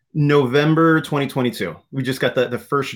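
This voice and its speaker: There is ordinary pitch variation in this man's voice, in an American accent. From Southern California. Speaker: community college administrator and speaker. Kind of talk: interview. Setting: video call.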